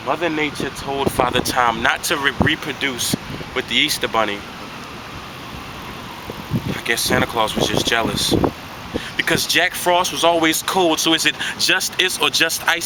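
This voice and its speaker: Against noticeable background noise, a man speaks at a moderate pace in a fairly high voice, with ordinary pitch variation and long, frequent pauses. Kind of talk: spoken word poetry performance.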